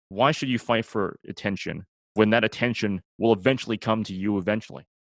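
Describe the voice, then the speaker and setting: A man with a Canadian accent speaks in a fairly low pitch with ordinary pitch variation. The sound is dry and close with no echo over a quiet background. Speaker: law student and sports announcer. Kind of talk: casual interview. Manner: rambling, talkative.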